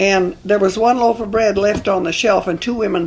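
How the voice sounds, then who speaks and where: Against noticeable background noise, a woman with an American accent speaks at a fairly quick pace with fairly even intonation. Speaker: oral history interviewee. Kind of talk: oral history interview answer, recalling the past. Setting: at home, interview recording.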